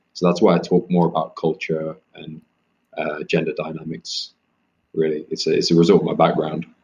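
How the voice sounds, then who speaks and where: With an East Midlands accent, a man speaks at a moderate pace. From England, Leicester (East Midlands). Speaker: author. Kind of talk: interview.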